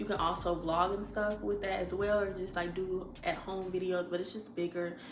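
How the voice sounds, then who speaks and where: Over noticeable background noise and audible room echo, the speaker moves at a fairly quick pace with fairly even intonation. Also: woman. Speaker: lifestyle vlogger. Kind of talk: casual vlog talk to camera. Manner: projecting voice.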